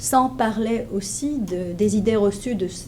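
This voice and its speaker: In a Hebrew accent, a woman speaks very slowly at medium pitch with ordinary pitch variation. Audible room echo surrounds her voice. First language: Hebrew (speaking French). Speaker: professor. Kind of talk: lecture. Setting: conference room with audience. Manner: hesitant, many fillers.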